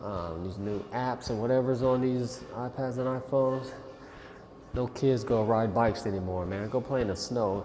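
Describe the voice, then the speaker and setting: The clip has noticeable background noise and audible room echo. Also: man, medium pitch for a man, ordinary pitch variation, moderate pace. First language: not English. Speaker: political commentary vlogger. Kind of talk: casual reaction commentary. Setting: gym. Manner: halting, rambling with fillers.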